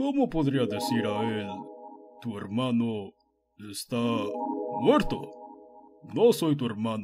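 A man puts on a character voice at a medium pitch, going very slowly with long, frequent pauses. Faint music plays in the background. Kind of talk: inner monologue. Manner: quiet, melancholy, reflective.

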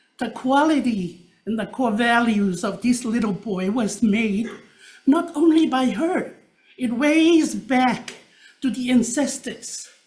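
A high-pitched woman at a very slow pace, with ordinary pitch variation and audible room echo. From Tonga. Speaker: public testifier. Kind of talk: public testimony.

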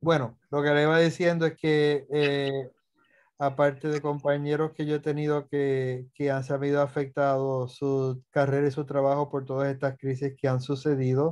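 Over a quiet background, a man speaks at a moderate pace. His fairly high voice has monotone, flat intonation. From Puerto Rico. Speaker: anesthesiologist; guest. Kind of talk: lecture. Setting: video call. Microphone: webcam.

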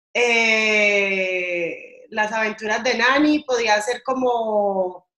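Speaking at a very slow pace, a woman with a fairly high pitch and ordinary pitch variation is recorded with audible room echo against a quiet background. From Colombia. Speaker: radio host. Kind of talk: interview answer. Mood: cheerful, friendly. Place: home room. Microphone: video call.

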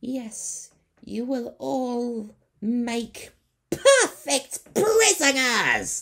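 Cackling in a put-on character voice, a man speaks very slowly at an extremely high pitch. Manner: cackling, gloating.

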